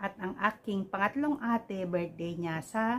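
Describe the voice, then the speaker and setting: The woman's voice comes across somewhat breathy. She talks at a moderate pace. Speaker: vlogger. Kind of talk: casual vlog greetings. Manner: hesitant, many fillers.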